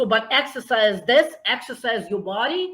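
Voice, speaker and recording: With a Russian accent, a woman talks at a fairly high pitch with lively intonation. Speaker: nonprofit founder. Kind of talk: interview. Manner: animated.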